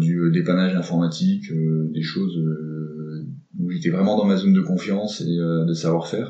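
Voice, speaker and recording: A man speaks with a very deep, low pitch and fairly even intonation. His pace is fairly slow. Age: 40s. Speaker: tech startup cofounder. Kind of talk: interview. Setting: coworking space. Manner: hesitant, many fillers.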